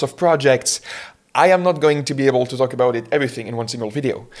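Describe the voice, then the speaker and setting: A man speaks with a French accent. His pitch sits fairly high. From France. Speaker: web developer, vlogger. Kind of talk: casual talk to camera. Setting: home, alone with camera. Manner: casual, with fillers.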